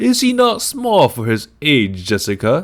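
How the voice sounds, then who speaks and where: Putting on a wheezy character voice, a man speaks fairly high and fairly slowly with very wide pitch swings, in a very clean recording with a silent background. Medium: read story. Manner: imperious, knowing.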